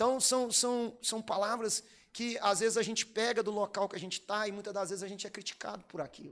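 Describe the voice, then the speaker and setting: A man with a high-pitched voice talks at a fairly quick pace in an animated tone. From Brazil, Minas Gerais. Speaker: pastor. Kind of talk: sermon.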